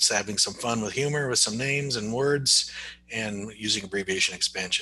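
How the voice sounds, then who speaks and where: A man at medium pitch and a fairly quick pace, ordinary pitch variation, noticeable background noise behind him. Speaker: speech therapist / AAC trainer. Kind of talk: tutorial. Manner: casual, conversational.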